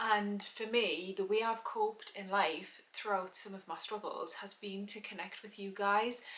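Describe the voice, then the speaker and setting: Over noticeable background noise, a woman with a British accent speaks fairly slowly in a monotone, flat way, her loudness swinging widely. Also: medium pitch for a woman, hardly any pauses. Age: 30s. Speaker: vlogger. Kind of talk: personal testimony.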